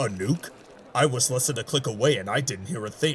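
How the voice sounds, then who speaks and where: A man's put-on character voice at medium pitch, fairly quick in pace, over clear background noise. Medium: audio drama. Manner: curt, clipped.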